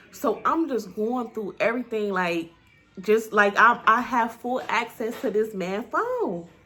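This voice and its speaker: A woman with a fairly high pitch speaks in an animated tone at a fairly slow pace, her pitch varying in an ordinary way over noticeable background noise. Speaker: YouTuber. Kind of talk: storytime.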